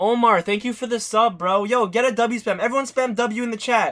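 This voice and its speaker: A man uses a raised, projected voice that is high-pitched, with a bright, sharp tone. He speaks at a fairly quick pace against a quiet background. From Canada. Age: 20s. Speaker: streamer and barber; streamer. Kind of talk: live-stream hair tutorial. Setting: live stream at home. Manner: casual, chatty. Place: home room.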